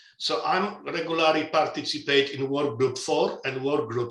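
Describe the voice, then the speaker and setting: Audible echo from the room fills the space around a man whose intonation stays fairly even. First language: not English. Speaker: asset management standards expert. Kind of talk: webinar interview. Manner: halting with repetitions.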